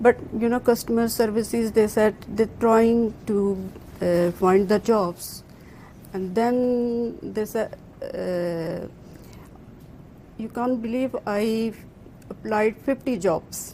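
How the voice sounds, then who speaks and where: The speaker talks at a very slow pace with a non-native accent, leaving long, frequent pauses. The intonation stays fairly even. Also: woman, fairly high pitch for a woman. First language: not English. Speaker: job-seeking programme participant. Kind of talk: interview about personal story. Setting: live broadcast event in an office. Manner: halting, many fillers.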